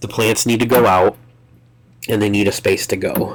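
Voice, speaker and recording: A man's voice, fairly low in pitch. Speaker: gardening vlogger. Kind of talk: casual DIY vlog narration. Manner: casual, halting.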